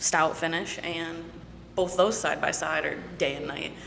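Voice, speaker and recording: A woman's fairly low voice with an American accent at a moderate pace, her intonation fairly even, amid noticeable background noise and audible room echo. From Michigan. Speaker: whiskey brand representative. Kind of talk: casual chat.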